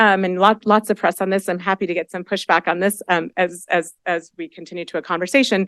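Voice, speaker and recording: At a fairly quick pace, a woman speaks at medium pitch in a dry, close sound with no echo. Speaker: education professor. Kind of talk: panel presentation. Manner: fast; hesitant, many fillers.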